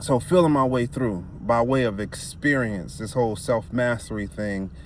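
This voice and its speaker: In a normal speaking voice, a man talks with ordinary pitch variation at a moderate pace. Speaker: spiritual self-help vlogger. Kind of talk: casual monologue.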